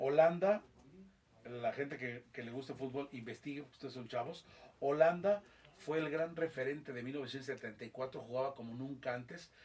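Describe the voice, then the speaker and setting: A man's somewhat breathy voice at medium pitch, fairly quick in pace, with ordinary pitch variation. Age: 60s. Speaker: football commentator. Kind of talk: interview. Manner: animated.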